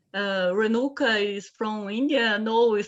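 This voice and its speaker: Fairly even intonation in a Portuguese accent. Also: woman. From Brazil. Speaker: economist, researcher. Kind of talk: self-introduction. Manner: halting.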